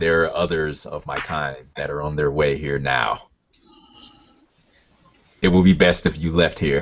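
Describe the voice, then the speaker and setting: A put-on character voice from a man, very deep, low and rumbling, at a moderate pace with long, frequent pauses. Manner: threatening, warning.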